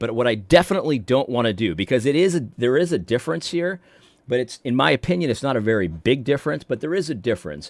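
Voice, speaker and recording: The speech comes at a very fast pace with vocal fry and very wide pitch swings. The background is quiet. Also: man, medium pitch for a man. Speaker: religious commentator and video host. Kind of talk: casual talk to camera. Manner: conversational, earnest.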